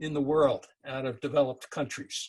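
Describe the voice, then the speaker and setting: A man with an American accent talks at a moderate pace. The background is quiet. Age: 70s. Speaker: author and speaker. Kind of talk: webinar talk with Q&A.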